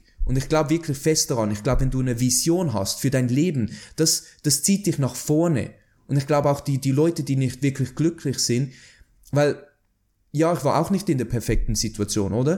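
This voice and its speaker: A man with a Swiss German accent speaks at a moderate pace in a medium pitch, somewhat breathy with a dark, mellow tone. The recording is very clean with a silent background. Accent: Swiss German, noticeable. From Switzerland. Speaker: artist. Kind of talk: interview conversation.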